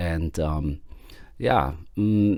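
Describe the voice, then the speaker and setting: A man with a German accent speaks in a very deep, low pitch with a dark, mellow tone and very wide pitch swings. The recording is very clean, with a silent background. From Germany. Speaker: podcast host. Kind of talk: podcast monologue. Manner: hesitant, many fillers.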